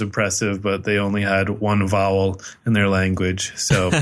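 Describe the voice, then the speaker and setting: The room echo is audible. A man speaks with a fairly low pitch. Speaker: podcast host reviewing movies. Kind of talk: casual chat. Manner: monotone.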